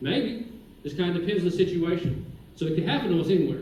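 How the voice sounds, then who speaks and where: Loud and very fast, a man with a high voice and an American accent speaks amid audible room echo. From Oklahoma (Skiatook). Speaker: city attorney, former prosecutor. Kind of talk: public presentation to city council workshop. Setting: council chamber with audience, microphone. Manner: casual, conversational.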